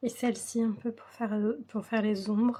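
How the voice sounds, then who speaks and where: A woman with a fairly high, somewhat breathy voice speaks very slowly in a monotone, flat intonation. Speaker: coloring hobby youtuber. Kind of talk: tutorial. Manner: slow, breathless.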